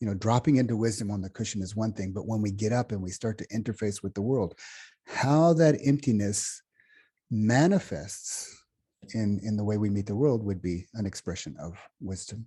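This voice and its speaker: Against a quiet background, a man with an American accent speaks in a fairly low pitch, his tone dark and mellow and somewhat breathy. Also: ordinary pitch variation, moderate pace. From United States. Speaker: meditation teacher. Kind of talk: workshop talk. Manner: halting, with many fillers and restarts.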